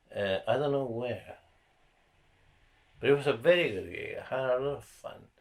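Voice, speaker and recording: A man speaks with a non-native accent at a medium pitch. His pace is moderate and his intonation lively. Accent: foreign. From South America (Argentina/Ecuador). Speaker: comedian. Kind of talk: casual chat.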